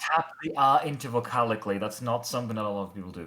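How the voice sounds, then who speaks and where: Speaking in a British accent, a man with a medium pitch moves at a very fast pace and ordinary pitch variation. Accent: British-sounding, less rhotic. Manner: explaining pronunciation.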